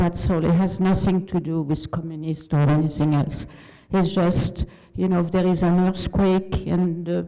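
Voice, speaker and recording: A woman with a French accent, her pitch fairly low, her intonation monotone and flat, her loudness very even. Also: moderate pace. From France. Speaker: community member. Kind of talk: public comment at meeting. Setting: at a microphone in meeting hall.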